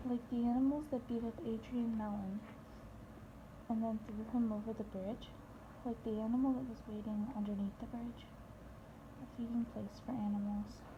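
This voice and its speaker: Noticeable background noise sits behind this moderately paced speech. The intonation stays fairly even, broken by long, frequent pauses. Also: woman, fairly high pitch for a woman. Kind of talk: book excerpt reading.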